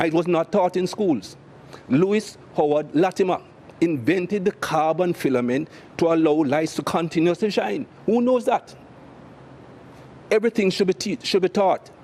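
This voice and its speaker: Speaking in a Jamaican accent, a man with a high pitch and a dark, mellow tone uses lively intonation at a moderate pace, with very even loudness, long, frequent pauses and a dry, close sound with no echo. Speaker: cricket commentator and former cricketer. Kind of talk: interview answer. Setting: studio.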